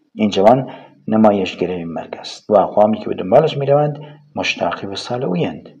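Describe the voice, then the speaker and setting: Big swings in loudness mark a man's fairly low-pitched voice at a fairly quick pace. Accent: Kurdish. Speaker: audiobook narrator. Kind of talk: audiobook reading of a novel.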